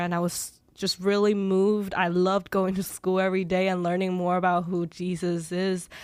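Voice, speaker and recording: A woman at a medium pitch and moderate pace, on a very clean recording with a silent background. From China. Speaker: ministry coordinator. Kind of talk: testimony; radio interview. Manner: halting.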